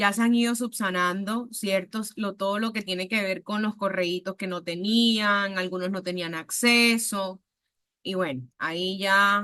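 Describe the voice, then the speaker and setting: Spoken with a Caribbean Colombian accent at a fairly slow pace. The tone is bright and sharp. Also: woman, medium pitch for a woman. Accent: Caribbean Colombian (costeño). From Colombian Caribbean coast, Montería, Córdoba. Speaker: university lecturer. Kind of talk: online class lecture. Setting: video call. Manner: animated.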